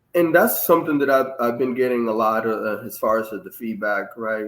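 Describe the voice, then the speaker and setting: A man with a Dominican accent. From Dominican Republic. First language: Spanish. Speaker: Navy master chief and author. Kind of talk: interview. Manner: halting.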